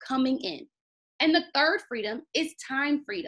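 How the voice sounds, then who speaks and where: An American-accented woman speaks at a moderate pace in an animated tone. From US Mid-Atlantic, Baltimore, Maryland. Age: 20s. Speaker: teacher presenting a business opportunity. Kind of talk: sales pitch.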